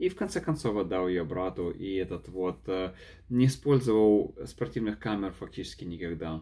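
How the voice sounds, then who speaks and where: Speaking with a non-native accent, a man uses a fairly low pitch, a dark, mellow tone and lively intonation at a moderate pace. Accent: noticeable foreign accent in Russian. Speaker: YouTuber, product reviewer; vlogger reviewing a camera. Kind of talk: unedited vlog review. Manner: halting, many fillers and repeats. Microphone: phone near.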